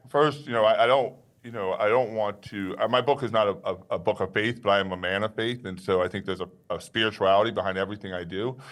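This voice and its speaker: Very fast male speech in a New York accent, fairly low in pitch, with ordinary pitch variation. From Long Island, New York, then Maryland. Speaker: author and business owner. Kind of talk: interview.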